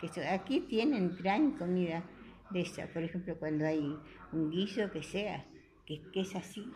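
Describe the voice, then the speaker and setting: Somewhat breathy, a woman speaks at a fairly slow pace with lively intonation. Her pitch is medium and her tone dark and mellow. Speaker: care home resident. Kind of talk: radio interview.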